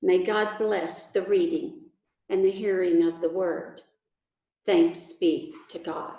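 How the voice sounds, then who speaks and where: With a Texas accent, a voice of dark, mellow tone speaks very slowly with lively intonation amid audible room echo. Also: woman, medium pitch for a woman. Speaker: pastor. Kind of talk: sermon.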